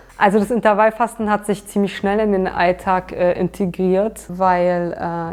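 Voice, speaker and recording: A woman's medium-pitched voice at a moderate pace. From Berlin, Germany. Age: 30s. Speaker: weight-loss success interviewee. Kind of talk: interview testimony. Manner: hesitant, many filler words.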